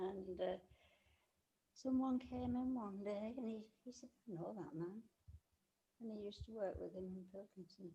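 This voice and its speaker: Somewhat breathy with a dark, mellow tone, a woman speaks at medium pitch and a moderate pace, her pitch varying in an ordinary way, with long, frequent pauses. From England. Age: 80s+. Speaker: interviewee, host's grandmother. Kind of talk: casual interview.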